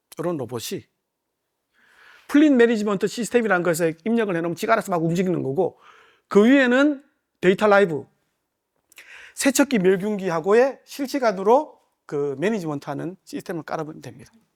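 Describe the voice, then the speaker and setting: On a very clean recording with a silent background, a high-pitched man speaks at a fairly quick pace, with long, frequent pauses, very wide pitch swings and big swings in loudness. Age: middle-aged. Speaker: company country manager giving seminar. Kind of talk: seminar lecture. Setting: conference room with live audience. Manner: casual, many fillers.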